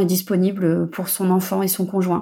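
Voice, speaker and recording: A woman speaks at medium pitch and a moderate pace in a dark, mellow tone. The recording is very clean, with a silent background. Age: 30s. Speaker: mother giving testimony. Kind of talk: recorded testimony.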